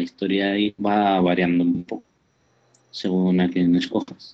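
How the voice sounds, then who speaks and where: Ordinary pitch variation runs through a man's fairly slow speech. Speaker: podcast newcomer, gamer. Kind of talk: casual chat. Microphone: poor connection, sounds strange.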